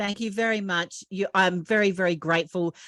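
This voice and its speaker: A woman with an Australian accent speaks with fairly even intonation in a dry, close sound with no echo, on a very clean recording with a silent background. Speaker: podcast host and author. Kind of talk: interview.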